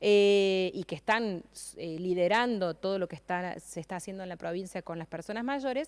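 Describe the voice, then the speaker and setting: On a very clean recording with a silent background, a woman of medium pitch speaks at a moderate pace with ordinary pitch variation and big swings in loudness. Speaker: gerontology specialist and government advisor. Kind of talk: radio interview. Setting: radio auditorium studio. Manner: hesitant, many fillers.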